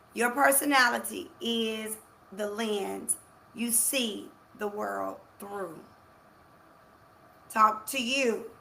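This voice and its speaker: Through audible room echo, a woman speaks at a very slow pace. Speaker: life coach. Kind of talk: motivational live talk. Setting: livestream. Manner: loud, forceful.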